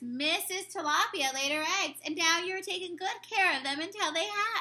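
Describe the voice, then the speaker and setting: An extremely high-pitched put-on character voice from a woman. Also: moderate pace, ordinary pitch variation. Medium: read story. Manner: warm, gentle.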